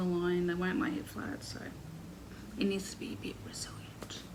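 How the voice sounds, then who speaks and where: With an Australian accent, a woman speaks at a moderate pace amid noticeable background noise and audible room echo. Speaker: crochet podcaster. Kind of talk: casual chat.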